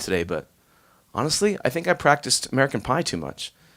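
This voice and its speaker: There is vocal fry in this man's bright, sharp tone as he talks at a fairly quick pace. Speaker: musician. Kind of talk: casual chat. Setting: live stream.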